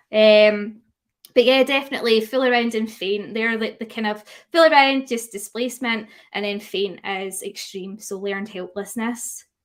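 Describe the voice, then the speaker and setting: A woman with a Scottish accent, fairly high in pitch, at a moderate pace with ordinary pitch variation. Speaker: dog grooming educator. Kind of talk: webinar lecture. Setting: live stream. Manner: hesitant fillers.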